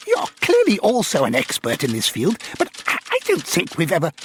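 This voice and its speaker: A man uses a put-on character voice pitched high. He talks at a moderate pace. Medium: read story. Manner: irritable, sharp-edged.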